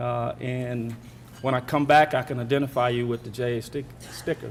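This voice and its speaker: A man with a Southern US accent talks at a medium pitch in a monotone, flat intonation. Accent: Southern drawl. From US South. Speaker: corporate speaker at a charity breakfast. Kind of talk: welcome speech. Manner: halting, many fillers.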